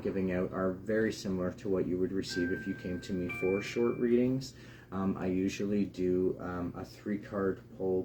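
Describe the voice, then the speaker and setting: A quiet man with a fairly low pitch, a moderate pace, fairly even intonation and hardly any pauses, over noticeable background noise. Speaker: tarot reader. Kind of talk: live stream talk. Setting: live broadcast. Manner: hesitant, many fillers.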